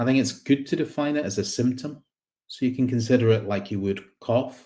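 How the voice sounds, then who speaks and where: A man speaks in a Scottish accent at a fairly quick pace, with a dark, mellow tone. His pitch is medium, with ordinary variation. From Scotland, Glasgow. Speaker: psychiatrist and researcher. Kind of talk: conference talk. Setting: online conference with slides.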